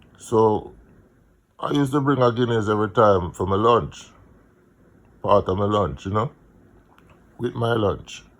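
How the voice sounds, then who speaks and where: A man speaks with a Jamaican accent and a fairly low pitch with ordinary pitch variation. He leaves long, frequent pauses. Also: moderate pace. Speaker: vlogger, music promoter. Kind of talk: casual monologue, personal storytelling. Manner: halting, many fillers.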